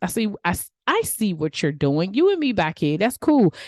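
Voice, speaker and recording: With a DMV accent, a woman of medium pitch speaks at a moderate pace in an animated tone, her sound dry and close with no echo against a quiet background. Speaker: podcast host and life coach. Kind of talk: motivational podcast monologue. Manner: casual, animated.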